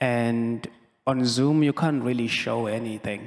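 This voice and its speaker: Medium-pitched man at a very slow pace. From South Africa, Cape Town township. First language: South African language, not English (speaking French). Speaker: choreographer and dancer. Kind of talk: public talk with audience.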